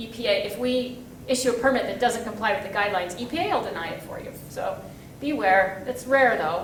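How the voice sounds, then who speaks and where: Over noticeable background noise and audible room echo, a woman with a high pitch talks at a fairly quick pace, her intonation lively and her loudness swinging widely. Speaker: federal regulatory project manager. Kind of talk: conference presentation. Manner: fast.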